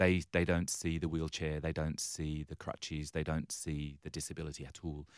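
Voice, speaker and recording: Speaking with an English accent at a moderate pace, a man keeps a very deep, low pitch and a flat, monotone intonation with hardly any pauses. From London, England. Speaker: charity CEO. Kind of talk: interview.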